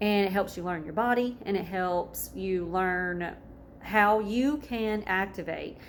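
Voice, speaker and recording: She has a Southern US accent. This woman's pitch sits in the medium range. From US South. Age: 30s. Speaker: wellness vlogger and massage therapist. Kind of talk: casual vlog introduction.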